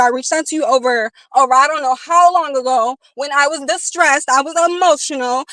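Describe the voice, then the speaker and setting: A woman speaks in a raised, projected voice, high-pitched with a bright, sharp, animated tone. Her pace is fairly quick, her pitch variation ordinary, and the sound dry and close with no echo. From Chicago. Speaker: live streamer. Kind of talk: casual live stream rant. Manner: louder than usual.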